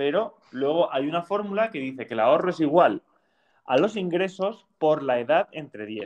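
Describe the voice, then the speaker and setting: At a moderate pace, a man talks at a high pitch with lively intonation and big swings in loudness. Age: 20s. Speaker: podcast host. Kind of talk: casual chat.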